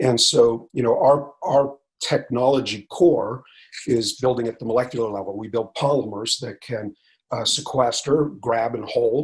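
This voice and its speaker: With an American accent, a somewhat breathy man speaks with fairly even intonation but big swings in loudness. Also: medium pitch for a man. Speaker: company CEO. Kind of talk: interview. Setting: video call while traveling.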